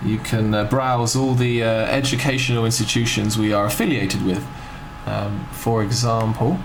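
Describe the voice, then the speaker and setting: At a moderate pace, a man speaks with fairly even intonation and very even loudness. The recording has audible room echo and noticeable background noise. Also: medium pitch for a man. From London, England. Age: 20s. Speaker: ESL teacher and recruiting representative. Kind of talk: tutorial. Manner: hesitant, many fillers.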